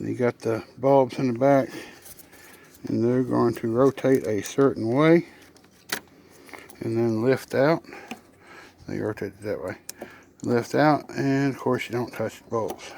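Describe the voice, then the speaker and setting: The speaker has a Southern US accent and a fairly slow pace. Long pauses come often. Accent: Southern US drawl. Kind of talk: casual how-to talk to camera. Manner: relaxed, rambling, joking.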